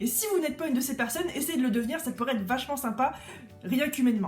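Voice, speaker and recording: With music in the background, a woman talks at a very fast pace in a high pitch with lively intonation. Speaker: craft artist and YouTuber. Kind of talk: rant vlog. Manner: animated.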